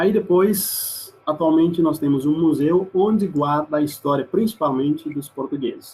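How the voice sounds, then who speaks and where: Somewhat breathy and dark, mellow in tone, a man speaks at a moderate pace with ordinary pitch variation and an East Timorese accent. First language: Mambai (speaking Portuguese). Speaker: exchange student. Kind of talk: presentation with slides. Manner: halting.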